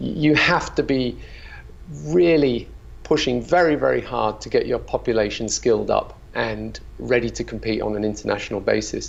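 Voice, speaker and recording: The delivery keeps a moderate pace. It is spoken with a British accent. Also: man. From UK. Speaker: company founder. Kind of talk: interview. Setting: video call.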